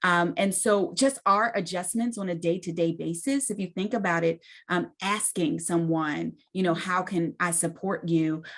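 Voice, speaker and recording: Against a quiet background, a woman uses a normal speaking voice with fairly low pitch, ordinary pitch variation and a moderate pace. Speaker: mental health nonprofit leader. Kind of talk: panel discussion. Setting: virtual event.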